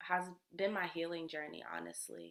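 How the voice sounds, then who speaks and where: A woman talks with an American accent. Her pitch is fairly low. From US South. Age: 20s. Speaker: energy healer and musician. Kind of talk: casual interview.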